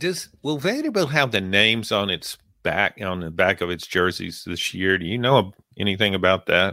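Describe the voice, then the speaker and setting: Over a silent background in a very clean recording, a man speaks with an American accent. His fairly low voice has a bright, sharp tone. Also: ordinary pitch variation, moderate pace. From Louisiana. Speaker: sports podcast co-host, sportswriter. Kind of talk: casual sports chat.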